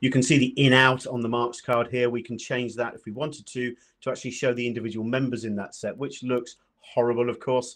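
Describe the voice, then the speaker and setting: Against a quiet background, a man with a British accent talks fairly quickly at a medium pitch, his intonation monotone and flat. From UK. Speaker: data analytics presenter; presenter. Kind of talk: software tutorial presentation. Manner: fast. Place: home room.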